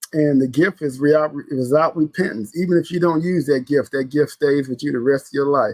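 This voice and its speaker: A man with an American accent has a normal speaking voice at a fairly high pitch. The sound is dry and close, with no echo. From US Midwest, St. Louis. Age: 60s. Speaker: podcast host. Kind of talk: casual solo podcast talk. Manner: conversational, repetitive with fillers.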